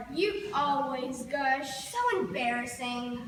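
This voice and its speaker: A put-on character voice, female-sounding and high in pitch, at a very slow pace with clear echo. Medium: stage play. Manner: fussy, snippy.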